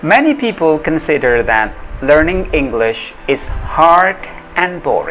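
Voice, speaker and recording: With music in the background, a man with an Indonesian accent speaks fairly slowly in a high pitch with lively intonation. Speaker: English pronunciation lecturer. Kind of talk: casual talk to camera.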